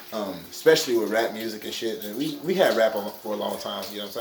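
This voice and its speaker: The speech comes at a very fast pace. Audible room echo and noticeable background noise are present. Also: man. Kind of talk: casual monologue. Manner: fast-talking; halting, repeats words.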